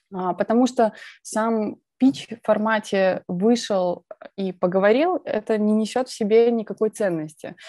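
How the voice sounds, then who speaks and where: Dry sound with no echo and a quiet background frame a woman's dark, mellow tone. She speaks at a fairly slow pace with ordinary pitch variation. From Belarus, Minsk; Belarus. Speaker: presentation skills speaker; speaker. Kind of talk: conference talk. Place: home room. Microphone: earbuds.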